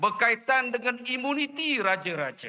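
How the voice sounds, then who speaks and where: Against noticeable background noise, a man with an extremely high pitch uses a raised, projected voice at a fairly slow pace. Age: 50s. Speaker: politician. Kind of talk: political rally speech. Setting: outdoor rally with audience. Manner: animated.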